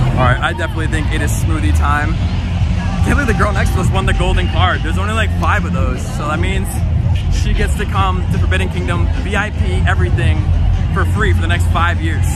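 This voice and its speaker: Fairly quick speech with music in the background and a dry sound with no echo. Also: man. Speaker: festival vlogger. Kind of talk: casual vlog chat. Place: street. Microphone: phone near.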